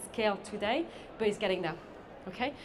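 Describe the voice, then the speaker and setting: Against noticeable background noise and audible room echo, a woman talks at a very fast pace with fairly even intonation. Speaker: sustainable beauty consultant. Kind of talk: conference talk.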